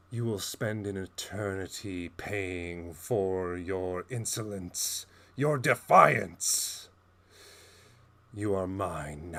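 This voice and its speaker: Using a put-on character voice, a man speaks at a very slow pace and a fairly low pitch. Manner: menacing, threatening.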